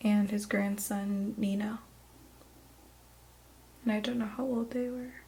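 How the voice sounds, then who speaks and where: A soft-spoken woman whispering over noticeable background noise. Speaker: ASMR artist and drawing teacher. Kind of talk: ASMR drawing lesson. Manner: soft-spoken, whispered.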